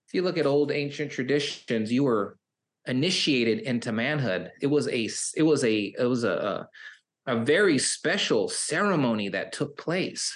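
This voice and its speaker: A man speaks at a moderate pace in an ordinary speaking voice, his pitch fairly high with lively intonation. The background is quiet. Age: 50s. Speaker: recovery coach. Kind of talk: interview.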